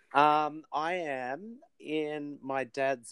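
The speaker has an Australian accent over a quiet background. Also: man. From Australia, New South Wales (Wollongong). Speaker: artist, actor and musician. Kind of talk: casual interview chat. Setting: remote call from a shed.

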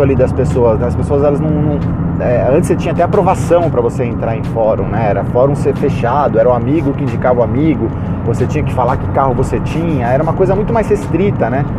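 With audible room echo and noticeable background noise, a man at medium pitch talks at a very fast pace. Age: 30s. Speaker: podcast host, automotive journalist. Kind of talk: casual monologue. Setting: in a car.

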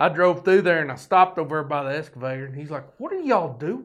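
A man talks with a Southern US accent and lively intonation. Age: 50s. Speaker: podcast host. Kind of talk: casual monologue. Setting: studio. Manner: folksy, rambling.

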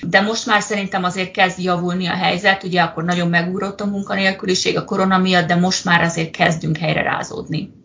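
Against noticeable background noise, the speaker rushes at a very fast pace in a monotone, flat intonation with hardly any pauses. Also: woman, medium pitch for a woman. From Hungary. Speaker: project manager in healthcare, emigrant. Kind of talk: interview.

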